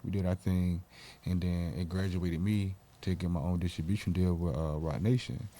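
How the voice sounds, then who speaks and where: A man with an American accent talks at a fairly quick pace in a very deep, low voice with a dark, mellow tone and fairly even intonation. The recording is very clean, with a silent background. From US South, Sanford, North Carolina. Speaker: rapper. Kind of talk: casual interview.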